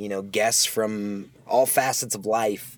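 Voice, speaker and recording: A man with an American accent, fairly low pitch, ordinary pitch variation and a very slow pace. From US Midwest. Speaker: podcast host. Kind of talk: casual solo monologue. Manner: rambling with many fillers.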